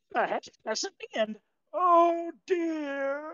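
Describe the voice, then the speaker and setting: At a high pitch, the speaker performs in a put-on character voice. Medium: actual play.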